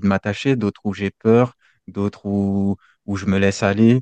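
The tone is dark and mellow, with monotone, flat intonation. The sound is dry and close with no echo against a quiet background. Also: man. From French Guiana. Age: 20s. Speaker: independent musician. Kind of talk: interview. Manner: halting.

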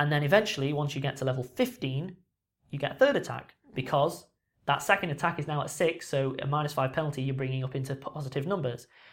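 A man talks very fast in a somewhat breathy, fairly high voice with fairly even intonation. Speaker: podcast host. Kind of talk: casual chat.

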